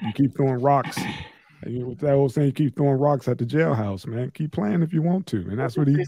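Against noticeable background noise, a man talks at a fairly quick pace in a fairly high pitch with ordinary pitch variation. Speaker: podcast host. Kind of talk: casual banter podcast chat. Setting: online video call recording.

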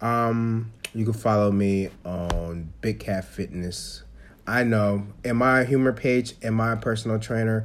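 Pacing himself fairly slowly, a man with a normal speaking voice talks in a medium pitch with fairly even intonation. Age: 20s. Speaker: podcast host. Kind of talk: casual chat.

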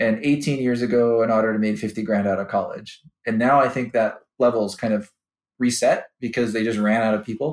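In a Chicago accent, a man speaks at a fairly quick pace with a medium pitch and monotone, flat intonation. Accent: Chicago-area American. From US Midwest, Chicago suburbs. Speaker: finance executive. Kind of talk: interview. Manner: hesitant, many fillers and repeats.

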